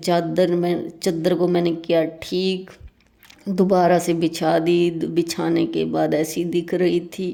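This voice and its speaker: The intonation is monotone and flat. Noticeable background noise runs under the speech. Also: woman. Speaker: vlogger. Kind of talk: vlog narration.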